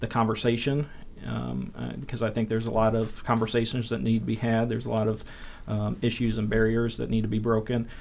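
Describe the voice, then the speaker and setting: A normal speaking voice with an American accent. Its intonation is fairly even. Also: man. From northern Indiana (South Bend). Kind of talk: casual interview.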